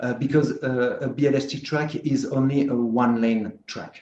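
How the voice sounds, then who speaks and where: A man talks with a French accent at a moderate pace. His pitch is medium and his intonation fairly even. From France. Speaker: slot car track builder. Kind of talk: video call chat. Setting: video call. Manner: halting, many fillers.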